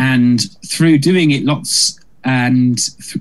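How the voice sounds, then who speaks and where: A man speaks with a British accent. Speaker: musical comedian. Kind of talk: casual interview chat. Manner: fast talker.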